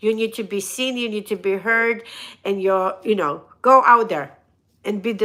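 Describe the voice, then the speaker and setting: A woman talks at a moderate pace in a fairly high pitch. Her tone is bright, sharp and animated. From Russia. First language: Russian. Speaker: motivational speaker and hairdresser. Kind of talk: live stream motivational talk. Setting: live stream.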